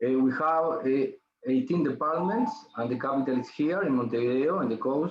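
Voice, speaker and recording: In a Spanish accent, a man speaks at a fairly high pitch with ordinary pitch variation. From Uruguay. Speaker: ENT surgeon. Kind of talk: lecture. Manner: slow, halting.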